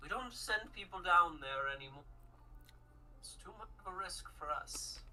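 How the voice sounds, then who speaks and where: A woman's put-on character voice over clear background noise. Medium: actual play.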